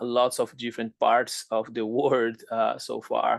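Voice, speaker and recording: In a quiet background, a man at a medium pitch talks at a fairly slow pace in a monotone, flat intonation. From Brazil, Fortaleza. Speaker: business professor. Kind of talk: conference presentation. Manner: halting, many fillers.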